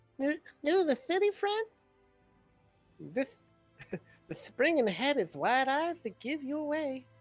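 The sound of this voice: A put-on character voice, high in pitch and fairly slow, with long, frequent pauses and faint music in the background.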